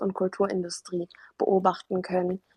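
Dry and close with no echo, a woman with a medium pitch sounds somewhat breathy at a moderate pace. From Germany, arrived as refugee child from Afghanistan. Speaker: artist and author. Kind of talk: interview. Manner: frequent hesitations (ähm).

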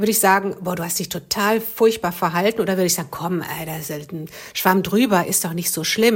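Her pitch is medium and her pace fairly quick, with fairly even intonation. This woman has a plain, everyday voice. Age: 50s. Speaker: relationship coach and author. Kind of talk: casual interview.

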